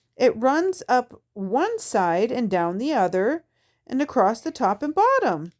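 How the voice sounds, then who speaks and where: A woman uses a put-on character voice, high in pitch with very wide pitch swings. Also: fairly slow pace. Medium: read story. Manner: brisk, opinionated.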